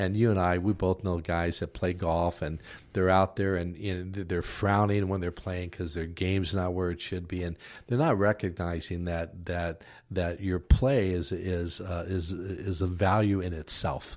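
Very deep and low, a man's voice holds fairly even intonation. He moves at a moderate pace with music in the background. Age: 60s. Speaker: minister. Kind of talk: casual chat. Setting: studio.

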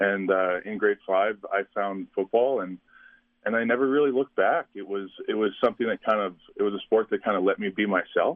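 A man speaks in an ordinary speaking voice with a Canadian accent, his pitch fairly low and its variation ordinary. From Saskatchewan, Canada. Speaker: university football player. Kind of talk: interview. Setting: phone call.

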